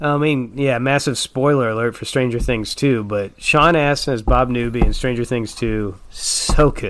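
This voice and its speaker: A man with an American accent talks at a fairly slow pace and a medium pitch. Noticeable background noise sits behind him. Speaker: podcast host. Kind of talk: casual chat.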